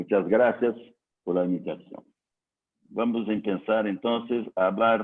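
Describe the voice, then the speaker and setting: The speech has long, frequent pauses and a monotone, flat intonation. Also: man, fairly low pitch for a man. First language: Portuguese (speaking Spanish). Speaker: civil engineer. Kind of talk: technical lecture. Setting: online conference. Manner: slow, hesitant.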